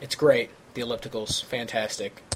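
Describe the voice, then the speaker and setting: Over noticeable background noise, a man with an American accent talks at a moderate pace with medium pitch and ordinary pitch variation. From St. Louis, Missouri. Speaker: podcast co-host. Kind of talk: casual, joking conversation.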